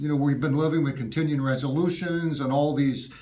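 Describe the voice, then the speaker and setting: Audible echo from the room surrounds speech delivered fairly quickly. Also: man. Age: 70s. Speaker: constituent voicing complaint. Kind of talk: in-person complaint to a staffer. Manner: emphatic.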